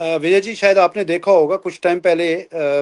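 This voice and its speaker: Here a man with a high pitch talks at a moderate pace in a monotone, flat intonation. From Kashmir. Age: 60s. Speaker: community leader and politician. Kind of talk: interview on live talk show. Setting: live online talk show. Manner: halting, many fillers.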